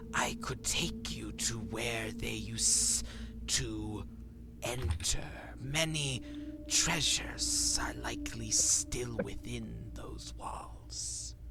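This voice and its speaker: A man in a put-on character voice speaks at a very slow pace over loud background noise. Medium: actual play.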